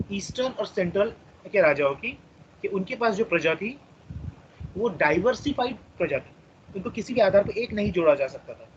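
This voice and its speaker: The speaker keeps a moderate pace. Their intonation is lively. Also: man. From India, Maharashtra (Chandrapur). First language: Marathi (speaking Hindi). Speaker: teacher. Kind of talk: lecture.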